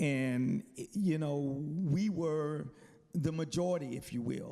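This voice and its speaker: In a Southern US accent, a man speaks very slowly at a fairly high pitch with a dark, mellow tone. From US South, South Carolina. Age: 60s. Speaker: military chaplain, panelist. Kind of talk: testimony. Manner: halting, with many fillers.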